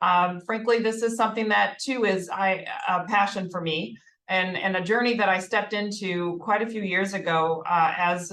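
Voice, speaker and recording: In a Minnesotan accent, a woman speaks at a medium pitch with ordinary pitch variation. Her tone is bright and sharp. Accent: Minnesota. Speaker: healthcare HR executive. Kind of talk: corporate presentation.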